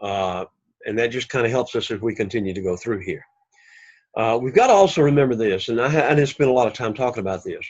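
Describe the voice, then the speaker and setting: Over a quiet background, a man with an Alabama accent talks at a very fast pace. His pitch is medium, with ordinary pitch variation. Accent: Southern US (Alabama). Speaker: Greek language teacher. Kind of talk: lecture. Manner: casual with frequent fillers.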